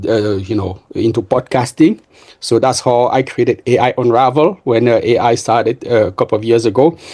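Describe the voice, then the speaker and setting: In a French accent, a man talks at a moderate pace and medium pitch, his intonation fairly even and his tone dark and mellow. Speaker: software engineer and entrepreneur. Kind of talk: podcast interview. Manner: halting, many fillers and repeats.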